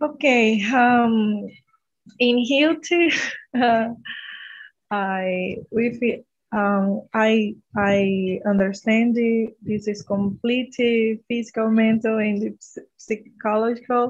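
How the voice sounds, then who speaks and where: A woman with a fairly high, somewhat breathy voice speaks at a very slow pace with ordinary pitch variation and long, frequent pauses. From northern Brazil. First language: Portuguese. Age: 30s. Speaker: medical student. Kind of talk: casual chat. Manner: halting.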